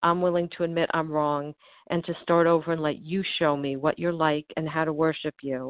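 With an American accent and an unremarkable speaking voice, a woman talks at a moderate pace in a fairly low pitch with fairly even intonation. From US Northeast. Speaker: twelve-step group member. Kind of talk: testimony. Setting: phone call.

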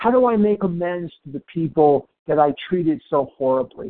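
Lively intonation and a moderate pace mark this normal speaking voice. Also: man. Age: 60s. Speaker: twelve-step meeting member. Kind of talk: testimony.

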